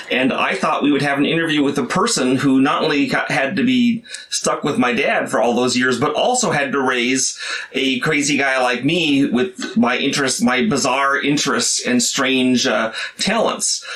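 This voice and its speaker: Amid noticeable background noise and audible room echo, a man with an American accent talks at a moderate pace, his fairly high pitch carrying lively intonation. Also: very even loudness. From US Midwest, St. Louis. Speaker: game designer and channel host. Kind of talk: casual interview with his mother.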